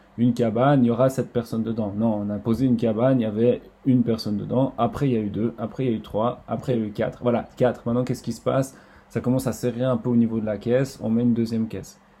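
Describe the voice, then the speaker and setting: At a very fast pace, a man talks with a dark, mellow tone. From French-speaking Switzerland, Estavayer-le-Lac. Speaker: water sports centre manager. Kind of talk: casual interview. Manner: halting, many repetitions.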